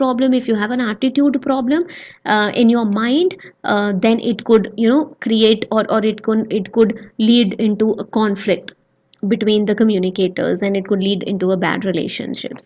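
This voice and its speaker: A woman speaks at a moderate pace with a fairly high pitch. Her voice is somewhat breathy, with ordinary pitch variation. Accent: non-native. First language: not English. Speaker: educational YouTuber teaching soft skills. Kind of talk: lecture. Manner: halting, many fillers.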